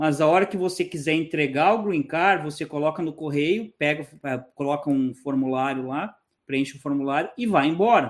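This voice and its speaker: A man with a fairly high pitch uses a normal speaking voice, moving at a moderate speed with ordinary variation in pitch. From southern Brazil, Porto Alegre. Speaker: emigration YouTuber. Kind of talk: interview.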